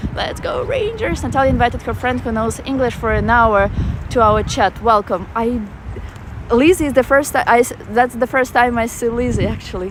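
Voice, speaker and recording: Noticeable background noise sits behind this recording. A woman with a Russian accent talks at a moderate pace. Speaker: travel vlogger. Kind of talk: live-stream walking tour with chat. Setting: outdoors in a park. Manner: casual, halting with fillers.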